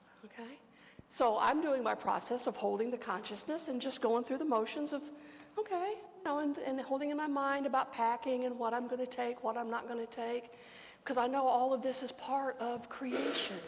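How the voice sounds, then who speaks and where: Amid audible room echo, a woman with a high voice talks at a moderate pace with ordinary pitch variation. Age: 60s. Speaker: pastor. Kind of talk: sermon. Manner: conversational.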